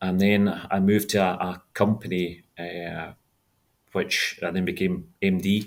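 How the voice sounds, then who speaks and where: A man speaks with a Scottish accent. His pitch is very deep and low. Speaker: franchise owner, former engineering executive. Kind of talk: interview. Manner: halting, repeats words.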